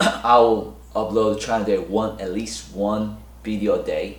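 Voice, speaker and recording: A man talks at a fairly slow pace, and room echo is audible around him. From South Korea. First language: Korean. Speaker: real estate broker. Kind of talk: casual monologue to camera. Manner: halting, many fillers and restarts.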